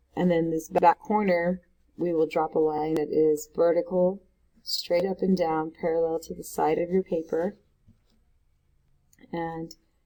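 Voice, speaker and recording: A woman's dark, mellow voice, fairly low in pitch, monotone and flat, broken by long, frequent pauses. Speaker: art teacher. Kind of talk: tutorial.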